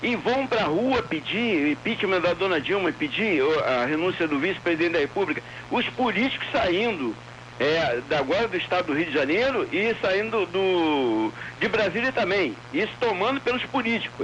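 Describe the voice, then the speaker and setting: At a moderate pace, a man speaks at a high pitch with very wide pitch swings and very even loudness amid noticeable background noise. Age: 60s. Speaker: radio caller. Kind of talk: call-in opinion. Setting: phone call.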